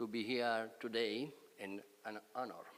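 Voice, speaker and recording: This man speaks with an Italian accent. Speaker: professor. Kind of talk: lecture.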